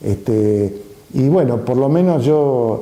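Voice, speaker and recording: Echo from the room can be heard. The man's pitch varies in an ordinary way. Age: 70s. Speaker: artist and photographer. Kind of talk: interview testimony. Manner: halting, many fillers.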